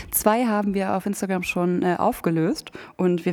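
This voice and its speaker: A woman talks in an ordinary speaking voice at a medium pitch. Her pitch variation is ordinary. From Hameln, Lower Saxony, Germany. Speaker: podcast co-host. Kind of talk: casual chat. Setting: coworking space studio.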